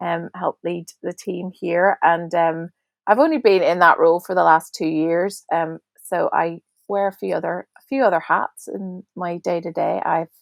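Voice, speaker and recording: A woman with a Belfast accent, fairly low in pitch, at a moderate pace with fairly even intonation. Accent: Belfast Northern Irish. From Northern Ireland, Belfast. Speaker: national director of a prayer ministry. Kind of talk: podcast interview. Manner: halting.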